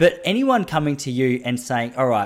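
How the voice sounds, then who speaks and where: A man with an Australian accent speaks at a fairly quick pace on a very clean recording with a silent background. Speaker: podcast host and running coach. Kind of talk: casual interview chat. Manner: chatty, tangent-prone.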